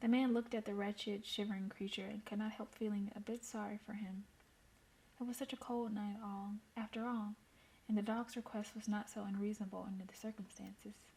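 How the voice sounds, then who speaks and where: A woman with a fairly high pitch and a dark, mellow, somewhat breathy tone talks at a fairly quick pace in a monotone with flat intonation. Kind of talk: story reading. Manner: casual.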